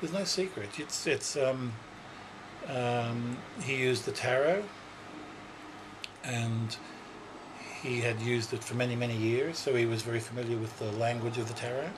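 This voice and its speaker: A man with an Australian accent speaks at medium pitch and a moderate pace, using ordinary pitch variation and long, frequent pauses. Noticeable background noise and audible room echo surround his voice. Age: 60s. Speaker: psychic. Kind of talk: interview. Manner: hesitant, many fillers.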